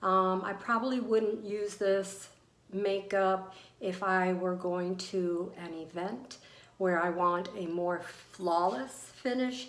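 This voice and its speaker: A woman speaks at a very slow pace. Noticeable background noise and audible room echo come through. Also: medium pitch for a woman, ordinary pitch variation. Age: 60s. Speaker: beauty vlogger. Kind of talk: product review tutorial. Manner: hesitant, many fillers.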